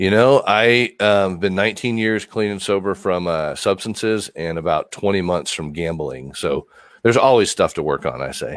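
In a normal speaking voice, a man with an American accent talks at a moderate pace with hardly any pauses, fairly low pitch and ordinary pitch variation, on a very clean recording with a silent background. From Texas. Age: 40s. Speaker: recovery coach in recovery from addiction. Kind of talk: interview on a recovery podcast.

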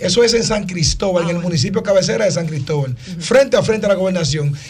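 A man talks very fast in a high voice with ordinary pitch variation. Audible room echo and noticeable background noise fill the recording. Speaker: radio panelist. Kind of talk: radio talk show discussion.

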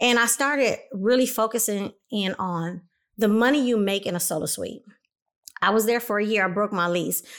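On a very clean recording with a silent background, a woman talks at a moderate pace with a fairly high pitch and ordinary pitch variation. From Los Angeles, California (Compton). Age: 40s. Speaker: salon owner and hairstylist. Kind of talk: casual interview chat.

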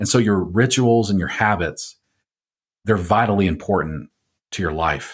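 Captured on a very clean recording with a silent background, a man speaks at a fairly slow pace with a fairly low pitch and ordinary pitch variation. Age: 40s. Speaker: podcast host and pastor. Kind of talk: scripted monologue intro; interview conversation.

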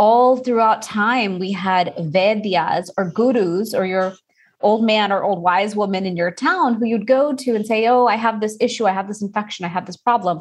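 A woman speaks with an American accent in an unremarkable speaking voice. Her pitch is fairly high, with ordinary variation. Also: moderate pace. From Texas, Houston. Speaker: Ayurvedic practitioner. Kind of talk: interview.

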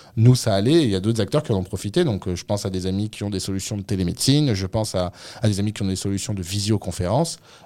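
A man's very fast voice, fairly low in pitch, dark and mellow in tone, with ordinary pitch variation and a very clean recording against a silent background. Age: 30s. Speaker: startup founder. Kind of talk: radio interview. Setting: studio.

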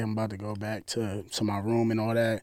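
With a New Jersey accent, a man talks at a moderate pace and medium pitch, and there is audible room echo. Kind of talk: casual chat.

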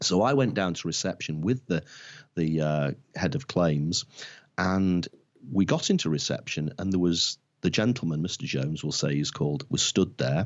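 Speaking in a Lancashire accent at a moderate pace, a man with a very deep, low voice uses lively intonation. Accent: northern English (Lancashire). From northwest England (Blackpool). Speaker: marketing consultant. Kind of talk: interview. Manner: halting.

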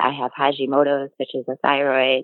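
A woman with a Midwestern US accent speaks at a very deep, low pitch. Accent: US Midwest. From Illinois. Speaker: dairy farmer. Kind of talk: casual interview.

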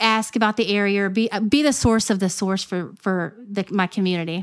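A woman speaks in an American accent at moderate pace. Her pitch is medium, and the background is quiet. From Virginia, Newport News. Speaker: real estate agent. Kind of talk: interview. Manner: halting.

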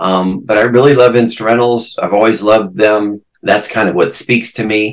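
A man's unremarkable speaking voice, fairly low in pitch, with fairly even intonation, a moderate pace and hardly any pauses. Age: 60s. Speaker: guitarist. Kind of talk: casual interview chat.

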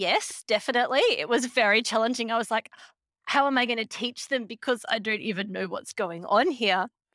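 Speaking with an Australian accent at a moderate pace, a woman has a bright, sharp tone and ordinary pitch variation, the sound dry and close with no echo. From Australia, Queensland. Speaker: music teacher. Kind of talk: interview conversation.

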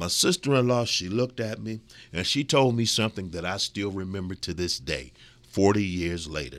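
On a very clean recording with a silent background, a man with an American accent and a very deep, low pitch talks at a moderate pace with lively intonation. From US Midwest. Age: 50s. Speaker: radio host. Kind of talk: monologue talk show. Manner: folksy, conversational.

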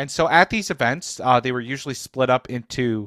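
This is a man with a medium pitch and a plain, everyday voice. The recording is very clean, with a silent background and a dry, close sound with no echo. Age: 20s. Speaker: community manager and stage actor. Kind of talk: casual interview chat.

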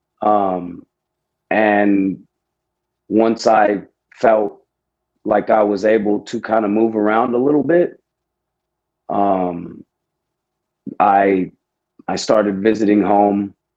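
With an American accent, a man speaks very slowly at a fairly low pitch, his intonation fairly even and his pauses long and frequent. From Houston, Texas. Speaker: army veteran. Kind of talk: casual interview.

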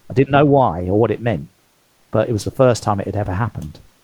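Somewhat breathy, a man speaks in a British accent with a fairly low pitch and ordinary pitch variation. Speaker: author and former consultant. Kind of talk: interview conversation.

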